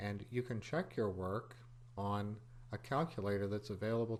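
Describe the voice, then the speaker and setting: A man talks in a normal speaking voice at a fairly low pitch. He keeps a moderate pace and fairly even intonation. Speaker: computer programming teacher. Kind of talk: tutorial.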